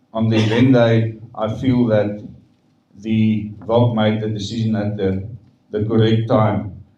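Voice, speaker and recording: Fairly slow, monotone speech with flat intonation and a dark, mellow tone, with audible room echo. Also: man, fairly low pitch for a man. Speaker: stadium management spokesperson. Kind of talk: press conference Q&A. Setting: press conference.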